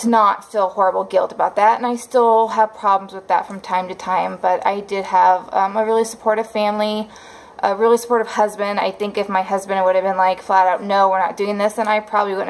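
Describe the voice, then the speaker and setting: The delivery is monotone and flat, at a fairly quick pace with hardly any pauses. Noticeable background noise can be heard. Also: woman. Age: 30s. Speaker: vlogger. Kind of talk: casual vlog monologue. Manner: hesitant, many fillers.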